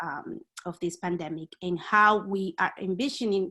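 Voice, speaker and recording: This woman speaks in a Spanish accent. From Dominican Republic. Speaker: community activist. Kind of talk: panel discussion. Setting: video call. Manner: halting, many fillers.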